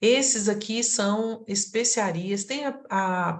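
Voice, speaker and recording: Audible room echo surrounds a woman's voice. She sounds somewhat breathy, with ordinary pitch variation. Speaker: aromatherapy teacher. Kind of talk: online lecture.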